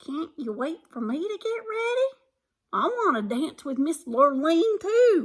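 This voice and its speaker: A woman in a put-on character voice speaks at a fairly slow pace and an extremely high pitch, with very wide pitch swings. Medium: read story.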